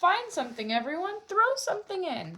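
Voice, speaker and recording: A woman speaks in a put-on character voice that is squeaky and warm, pitched extremely high. Her pitch swings very widely at a moderate pace. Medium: read story. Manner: warm, lively.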